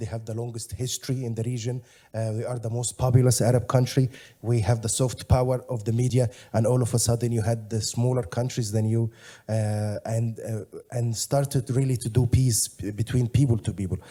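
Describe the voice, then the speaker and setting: A man with an Egyptian accent talks at a fairly quick pace in a medium pitch, his tone dark, mellow and somewhat breathy. His intonation is monotone and flat, on a very clean recording with a silent background. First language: Egyptian Arabic. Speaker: panelist. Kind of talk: Q&A answer. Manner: halting.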